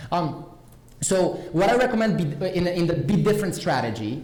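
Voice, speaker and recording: Speaking in a Romanian accent, a man with a high pitch has an animated tone and lively intonation at a moderate pace. Room echo is audible, and background noise is noticeable. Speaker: conference speaker. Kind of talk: conference talk. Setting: stage with audience.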